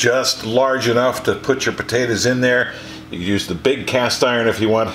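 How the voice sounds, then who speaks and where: With an American accent, a man speaks at a fairly quick pace against noticeable background noise. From Eastern Ohio. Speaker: home cook, former radio broadcaster. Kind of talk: cooking tutorial. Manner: casual, relaxed.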